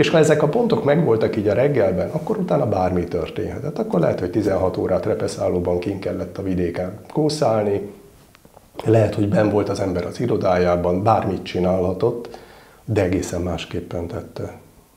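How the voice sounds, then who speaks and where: A man with a fairly low voice talks amid noticeable room echo. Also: lively intonation, fairly quick pace. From northern Hungary (Miskolc); Hungary. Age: 50s. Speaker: military chaplain. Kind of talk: interview. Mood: warm, reflective, smiling. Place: home room.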